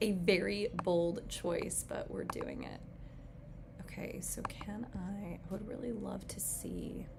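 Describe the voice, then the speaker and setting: A woman speaking very slowly amid noticeable background noise and audible room echo. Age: 30s. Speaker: astrologer. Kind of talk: live stream talk. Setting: livestream. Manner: casual, filler-heavy.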